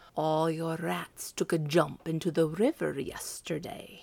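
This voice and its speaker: Using a put-on character voice, a woman speaks with a fairly low pitch at a fairly slow pace. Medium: read story. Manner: proud, mocking.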